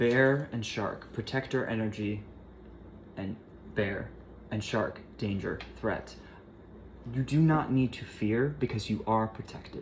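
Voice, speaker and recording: Soft-spoken speech comes at a fairly slow pace, broken by long, frequent pauses. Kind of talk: tarot reading.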